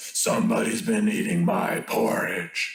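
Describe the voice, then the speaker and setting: A growling, put-on character voice at a fairly slow pace, with slight echo. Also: man, high pitch for a man. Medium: read story. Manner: gruff.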